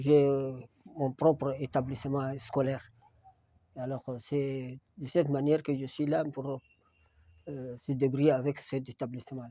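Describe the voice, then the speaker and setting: At a fairly slow pace with long, frequent pauses, a man speaks at a medium pitch in a dark, mellow tone with monotone, flat intonation. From Chad, Moussoro. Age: 70s. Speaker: retired teacher, local elder. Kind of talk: interview testimony on local history. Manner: hesitant, with frequent fillers.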